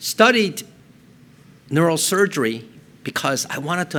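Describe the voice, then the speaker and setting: A man with a Korean accent and very wide pitch swings. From South Korea, moved to Colorado at ten. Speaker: neurosurgeon. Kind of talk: public talk.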